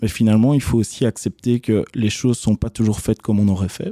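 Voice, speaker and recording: A man at medium pitch, dark and mellow in tone, with a dry, close sound and no echo. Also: very clean recording, silent background. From Belgium, Charleroi area (Couillet). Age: 20s. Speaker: bike shop owner and entrepreneur. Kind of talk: interview. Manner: hesitant, frequent fillers and repetitions.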